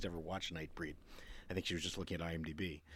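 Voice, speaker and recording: A man's very fast, bright, sharp voice with an American accent. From Maryland, US Mid-Atlantic. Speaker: podcast co-host. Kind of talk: casual chat.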